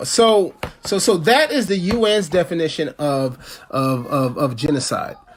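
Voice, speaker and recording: Over noticeable background noise, a man with a high pitch talks at a fairly slow pace with lively intonation. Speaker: activist campaign chair. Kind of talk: political talk. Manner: halting, many repetitions.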